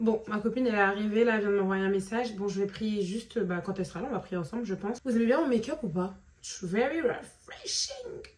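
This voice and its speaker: Over noticeable background noise, a woman with fairly high pitch rushes along at a very fast pace with hardly any pauses, big swings in loudness and ordinary pitch variation. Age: 20s. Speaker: vlogger. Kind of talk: casual vlog talk.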